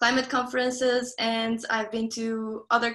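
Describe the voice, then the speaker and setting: A woman's fairly high, bright and sharp voice with a Portuguese accent. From southern Portugal. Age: young. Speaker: climate activist and student. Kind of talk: panel introduction.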